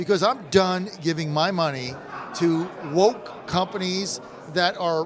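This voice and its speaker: High-pitched male voice with ordinary pitch variation at a fairly slow pace, over noticeable background noise. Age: 60s. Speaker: radio host. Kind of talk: casual chat. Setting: live broadcast at a convention. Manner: animated.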